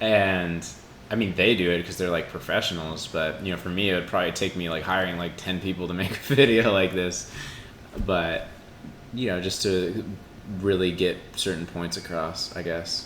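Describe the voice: A man speaks at a moderate pace with a low pitch. His tone is fairly bright and his intonation fairly even.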